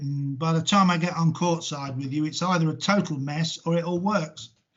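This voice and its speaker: Somewhat breathy, a man speaks at a moderate pace. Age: 60s. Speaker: sports coach. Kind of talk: casual interview. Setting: video call.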